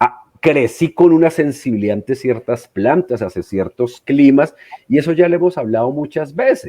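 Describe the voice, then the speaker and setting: A man with an ordinary speaking voice talks at a moderate pace, his fairly high pitch carried by lively intonation. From southwestern Colombia. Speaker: podcast co-host, pagan practitioner. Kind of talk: casual podcast discussion.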